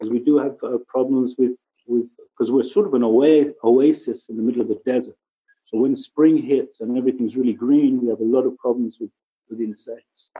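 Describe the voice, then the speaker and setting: With an English accent, a man speaks at medium pitch and with fairly even intonation. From England. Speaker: ecology center director. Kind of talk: casual interview chat.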